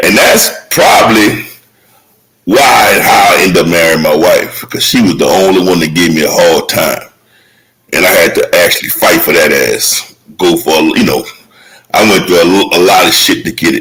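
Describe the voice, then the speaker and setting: With music playing behind him, a man talks at a moderate speed. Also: very even loudness. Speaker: podcast co-host. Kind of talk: casual chat. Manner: loud.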